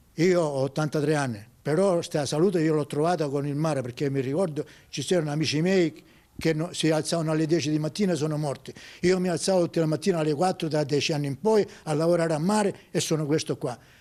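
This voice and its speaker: A man's fairly high yet dark, mellow voice, very fast in pace with ordinary pitch variation. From Sicily, Oliveri (Messina). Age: 80s+. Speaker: retired fisherman. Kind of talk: interview storytelling. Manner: halting, repetitive.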